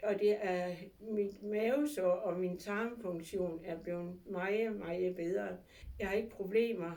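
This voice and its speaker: Audible room echo surrounds a woman's dark, mellow tone, which sits at a medium pitch with fairly even intonation. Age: 70s. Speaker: patient giving testimonial. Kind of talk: testimony. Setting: clinic. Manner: halting with fillers.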